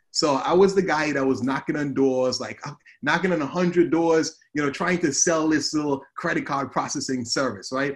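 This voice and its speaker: The man's pitch moves with ordinary variation, and the background stays quiet. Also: fairly high pitch for a man, moderate pace. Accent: Antiguan. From Antigua, Caribbean. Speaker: social media advertising coach. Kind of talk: interview conversation. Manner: animated.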